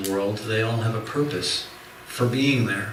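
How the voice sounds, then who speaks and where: A soft-spoken man at medium pitch, fairly slow, with noticeable background noise and audible room echo. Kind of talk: religious lecture. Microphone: too quiet for listeners.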